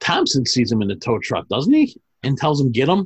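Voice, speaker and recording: Somewhat breathy, the speech unfolds at a medium speed. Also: man. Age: 40s. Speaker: movie podcast host. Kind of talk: casual chat.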